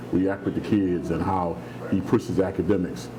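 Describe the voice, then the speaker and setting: Over noticeable background noise and audible room echo, a man with a very deep, low pitch talks at a moderate pace. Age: 60s. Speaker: youth program founder, retired bank regulator. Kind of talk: interview.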